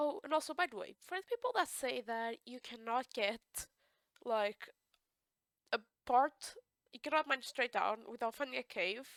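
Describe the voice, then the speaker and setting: A woman with a high voice talks at a moderate pace, recorded dry and close with no echo. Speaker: gaming video creator. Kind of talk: casual gameplay commentary.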